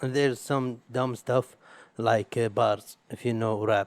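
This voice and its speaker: The man speaks with an Arabic accent at a medium pitch and fairly even intonation. The sound is dry and close, with no echo. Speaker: podcast host. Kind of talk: casual solo podcast monologue. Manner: halting, with repetitions.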